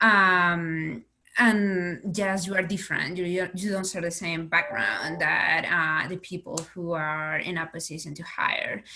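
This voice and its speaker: With a Spanish accent, a woman with a fairly low pitch and a bright, sharp tone speaks at a fairly slow pace with ordinary pitch variation. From Spain. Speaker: investigative reporter. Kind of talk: panel discussion. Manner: halting, many repetitions.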